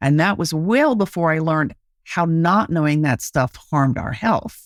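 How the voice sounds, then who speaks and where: With an American accent, a woman speaks at a moderate pace in a very deep, low pitch with ordinary pitch variation, the sound dry and close with no echo and the recording very clean with a silent background. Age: 70s. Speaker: anti-ageism activist and author. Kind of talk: podcast interview.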